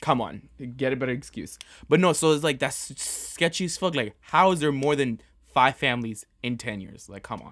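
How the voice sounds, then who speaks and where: The speaker has an American accent and a moderate pace with ordinary pitch variation. The recording is very clean, with a silent background. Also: man, fairly high pitch for a man. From New York. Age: 20s. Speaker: podcast co-host. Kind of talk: casual chat. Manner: animated.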